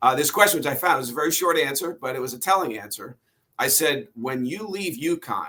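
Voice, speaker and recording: Lively intonation marks this man's unremarkable speaking voice. He keeps a moderate pace. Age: 60s. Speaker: author and sportswriter. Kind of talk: interview.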